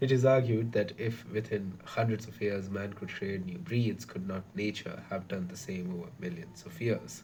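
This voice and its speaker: A soft-spoken man talks at a moderate pace in a fairly low, somewhat breathy voice. His intonation is lively, and his loudness swings widely. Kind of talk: reading aloud. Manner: halting.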